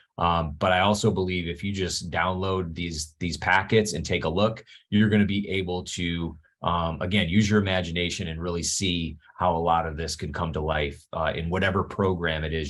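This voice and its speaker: A man's very deep, low voice carries fairly even intonation. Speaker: webinar presenter, leadership program author. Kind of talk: webinar presentation. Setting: office, screen sharing. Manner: fast.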